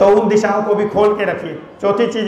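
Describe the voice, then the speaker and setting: High pitch from a man, with audible room echo and noticeable background noise throughout. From rural north India. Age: 70s. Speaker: retired civil servant. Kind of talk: motivational talk to students.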